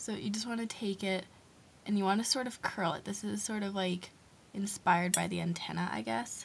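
A woman speaks at a fairly quick pace with lively intonation and a medium pitch, her voice somewhat breathy. Light background noise sits behind her. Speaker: beauty vlogger. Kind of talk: tutorial. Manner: fast talker; casual, chatty. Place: home room. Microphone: webcam.

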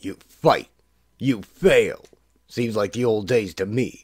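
Using a put-on character voice, a man talks fairly slowly at a medium pitch.

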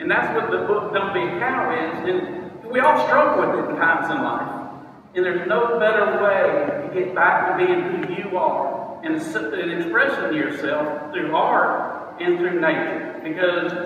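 A man's voice carries strong room echo. Light background noise sits behind it. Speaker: motivational speaker. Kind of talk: short speech at an event. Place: hall. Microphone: phone near.

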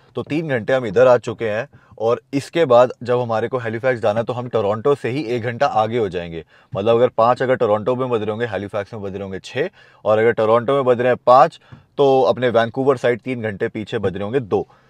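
A man at a moderate pace with ordinary pitch variation, dry with no echo over a quiet background. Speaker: travel vlogger. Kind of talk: casual vlog chat. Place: car. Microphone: lapel.

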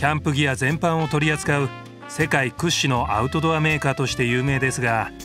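Over music in the background, a man with a fairly high pitch speaks at a fairly quick pace, with ordinary pitch variation and very even loudness. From Tokyo, Japan. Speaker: TV narrator, actor. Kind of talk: TV documentary narration.

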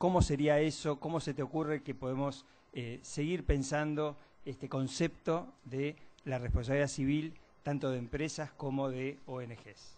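At a fairly slow pace, a man speaks with fairly even intonation. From Argentina. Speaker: moderator. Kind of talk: event moderation. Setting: auditorium with audience. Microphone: podium.

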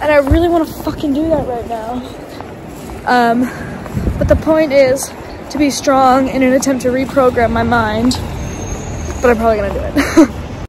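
Speaking with an American accent and a high pitch, a woman talks at a moderate pace with fairly even intonation and long, frequent pauses, in a dry sound with no echo and noticeable background noise. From California. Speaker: vlogger. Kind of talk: casual video diary. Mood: reflective, candid. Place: street. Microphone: earbuds.

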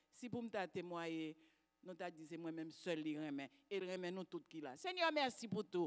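The pace is fairly slow. The background is quiet. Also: woman. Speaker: congregant giving testimony. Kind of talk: testimony. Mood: grateful, fervent. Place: church. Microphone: handheld.

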